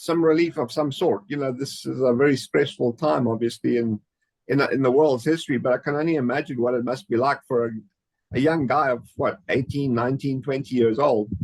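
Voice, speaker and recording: The speaker is a man with an unremarkable speaking voice at medium pitch. He goes at a fairly quick pace with ordinary pitch variation. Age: 50s. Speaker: podcast host. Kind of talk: interview.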